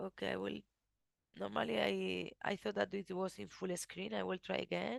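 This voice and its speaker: A woman with a non-native accent at a moderate pace, the sound dry and close with no echo. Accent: noticeable foreign accent in English. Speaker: researcher presenting study. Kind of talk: webinar presentation. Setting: video call webinar. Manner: halting, many restarts.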